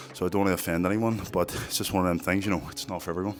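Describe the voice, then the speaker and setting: A man with a Northern Irish accent speaks in a fairly low voice. His words carry vocal fry. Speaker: fitness content creator. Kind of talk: vlog monologue.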